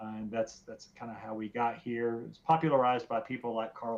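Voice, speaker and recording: A man with a Southern US accent, medium pitch and moderate pace. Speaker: podcast guest, student of theology and ethics. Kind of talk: casual discussion. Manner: halting, many fillers and repeats.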